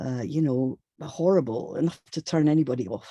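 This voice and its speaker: The tone is dark and mellow at a moderate pace. The sound is dry and close with no echo. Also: woman. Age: 60s. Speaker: feminist speaker. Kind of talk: webinar talk.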